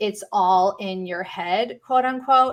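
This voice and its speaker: A woman at a fairly slow pace in an unremarkable speaking voice. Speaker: panel expert on pain management. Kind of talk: online panel presentation.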